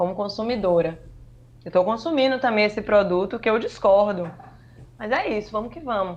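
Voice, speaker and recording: A woman's medium-pitched voice with a northeastern Brazilian accent, at a moderate pace, with ordinary pitch variation, big swings in loudness, and long, frequent pauses. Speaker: journalist and communication researcher. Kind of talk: podcast interview. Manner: animated.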